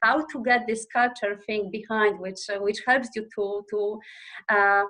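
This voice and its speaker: A woman with a Polish accent speaks at a fairly slow pace, her fairly high voice bright and sharp over fairly even intonation. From Poland. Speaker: operations manager. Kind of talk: interview podcast. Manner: halting with many fillers.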